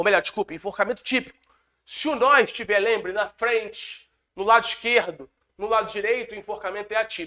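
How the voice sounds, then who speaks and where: A raised, projected voice with a bright, sharp tone moves at a fairly quick pace. Pitch varies in an ordinary way, and the sound is dry and close with no echo. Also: man. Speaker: law exam lecturer and police chief. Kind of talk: lecture. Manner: fast.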